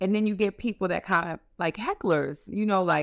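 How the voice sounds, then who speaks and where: Talking at a fairly quick pace, a woman shows ordinary pitch variation. The recording is very clean with a silent background, dry and close with no echo. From New York, the Bronx. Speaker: administrative assistant and traveler. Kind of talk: casual interview.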